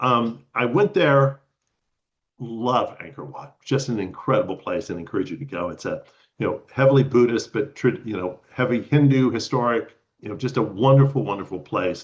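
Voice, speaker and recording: Somewhat breathy and medium in pitch, a man with an American accent speaks at a moderate pace. His intonation is lively and his loudness swings widely. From Texas. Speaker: retired lawyer and spiritual traveler. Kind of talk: personal storytelling talk. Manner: halting, many fillers and repeats.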